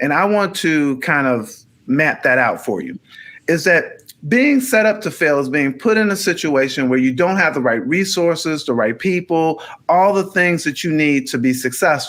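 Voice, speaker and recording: Very wide pitch swings from a man talking at a moderate pace. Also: fairly high pitch for a man. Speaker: podcast co-host. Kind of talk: casual conversation. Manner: halting, repeats words.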